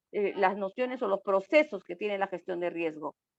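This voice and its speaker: A woman speaks with lively intonation at a moderate pace in a dry, close sound with no echo. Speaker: speaker on disaster risk management. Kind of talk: online talk. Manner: animated.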